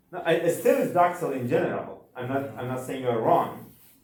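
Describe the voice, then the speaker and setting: A man with a non-native accent at a moderate pace, ordinary pitch variation and audible room echo. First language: not English. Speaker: university instructor. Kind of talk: lecture. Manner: halting.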